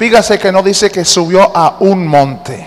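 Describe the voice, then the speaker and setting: There is noticeable background noise behind this speaker. A man talks in a warm tone with ordinary pitch variation. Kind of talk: sermon. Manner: interactive and teacherly, coaxing the congregation to read the verses aloud with him; warm and earnest, with humor, slowing down to stress each point.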